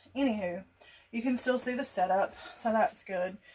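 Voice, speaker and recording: Through noticeable background noise, a woman with an American accent speaks at a fairly high pitch and a moderate pace. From US South. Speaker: gardening youtuber. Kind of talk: casual tutorial. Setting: laundry room at home.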